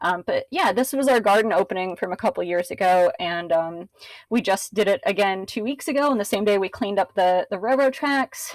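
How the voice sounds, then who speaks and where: At a fairly quick pace, a woman speaks in a medium pitch with lively intonation. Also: dry, close sound with no echo. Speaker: local council member and sustainability speaker. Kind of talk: presentation. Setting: video call. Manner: fast; casual, many filler words.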